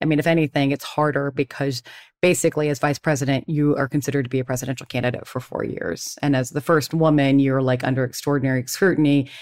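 A woman with a very deep, low pitch talks at a very fast pace. The recording is very clean with a silent background. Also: fairly even intonation. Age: 50s. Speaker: podcast host, former political aide. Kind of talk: interview.

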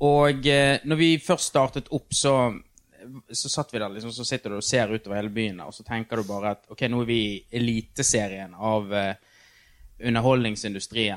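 Heard in a dry, close sound with no echo, a man with a normal speaking voice talks at a moderate pace, his medium pitch showing ordinary variation. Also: very clean recording, silent background. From Norway, Bergen (Fyllingsdalen). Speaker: TV producer. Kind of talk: casual chat. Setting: backstage at a venue.

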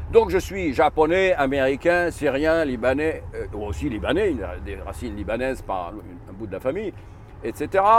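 A man talks at a moderate pace, his loudness rising and falling sharply. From Egypt. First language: Arabic (speaking French). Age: 60s. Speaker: author and consultant. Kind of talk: interview.

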